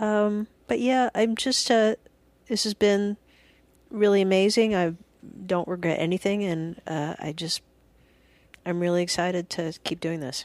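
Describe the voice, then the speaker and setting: Soft-spoken and at a medium pitch, a woman talks at a fairly slow pace with long, frequent pauses, captured with a dry, close sound, no echo, and a very clean recording with a silent background. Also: ordinary pitch variation. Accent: American. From US South (Alabama and Georgia). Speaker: comedian. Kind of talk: casual chat. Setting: studio. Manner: quiet, not loud.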